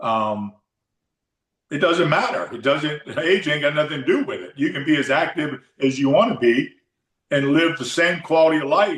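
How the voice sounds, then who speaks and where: Speaking in a plain, everyday voice, the talker keeps a moderate pace and ordinary pitch variation. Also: man, fairly high pitch for a man. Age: 60s. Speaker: fitness coach. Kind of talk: casual chat.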